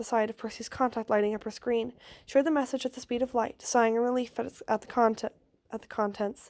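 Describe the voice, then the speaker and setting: Speaking very fast, a woman keeps a fairly high pitch. Her intonation is flat and monotone. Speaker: podfic reader. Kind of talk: casual chat; reading aloud. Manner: halting.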